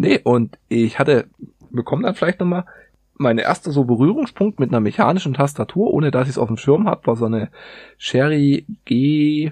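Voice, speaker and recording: A man with a plain, everyday voice speaks at a fairly high pitch and moderate pace with lively intonation, the sound dry and close with no echo against a quiet background. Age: 30s. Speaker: metal industry worker, keyboard hobbyist. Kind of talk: casual chat.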